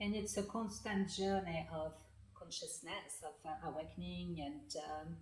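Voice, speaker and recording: The speech moves at a fairly slow pace, with audible echo from the room. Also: woman. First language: French. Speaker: author and healing practitioner. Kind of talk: interview. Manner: halting, many fillers.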